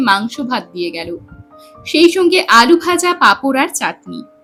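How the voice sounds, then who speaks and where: A woman's voice with very wide pitch swings over music in the background. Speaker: storyteller. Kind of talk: audio story narration.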